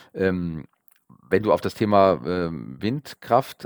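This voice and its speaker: Pitch varies in an ordinary way, and the recording is very clean, with a silent background and a dry, close sound without echo. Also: man. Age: 50s. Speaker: local politician and market research business owner. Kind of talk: podcast interview. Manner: hesitant, many filler sounds.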